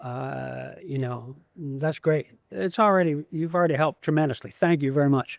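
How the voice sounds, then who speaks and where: A man with an American accent and a fairly high pitch, at a moderate pace with ordinary pitch variation, in a dry, close sound with no echo. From Ohio, US Midwest. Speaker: songwriter. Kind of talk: interview. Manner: halting; self-conscious about speaking voice.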